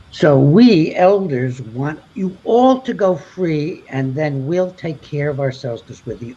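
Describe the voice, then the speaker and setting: A man with a dark, mellow, somewhat breathy tone talks with hardly any pauses. His intonation is lively and his loudness swings widely. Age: 80s+. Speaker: doctor, panel expert. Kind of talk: panel discussion closing remarks. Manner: halting.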